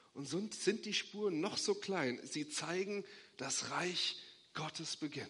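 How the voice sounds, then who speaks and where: The voice moves at a very slow pace, bright and sharp in tone, with ordinary pitch variation. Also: man, high pitch for a man. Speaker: pastor. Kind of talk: sermon, preacher in full flow, urgent and rousing. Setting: church. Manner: emphatic, insistent, repeating short imperatives; warm, hopeful, rising to a blessing.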